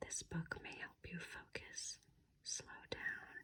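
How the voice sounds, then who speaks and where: A whisper delivered at a very slow pace. Each word comes out hushed and drawn out. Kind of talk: ASMR reading. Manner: whispered.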